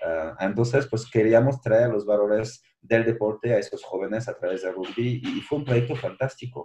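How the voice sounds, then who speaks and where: A man talks at a moderate pace with hardly any pauses. His medium-pitched voice has a dark, mellow tone and is somewhat breathy. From France. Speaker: social entrepreneurship director. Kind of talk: interview.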